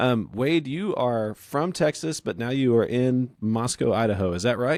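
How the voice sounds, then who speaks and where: In a Southern US accent, a man talks at a moderate pace with a medium pitch and lively intonation. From North Louisiana, US South. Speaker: podcast host. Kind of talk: casual interview chat. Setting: podcast recording.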